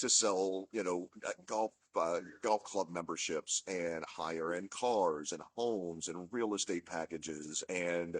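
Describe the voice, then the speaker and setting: Dry, close sound with no echo carries a voice that moves at a fairly slow pace with ordinary pitch variation. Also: man. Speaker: marketing consultant, former radio ad salesman. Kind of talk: casual video talk to audience. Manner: conversational, many fillers.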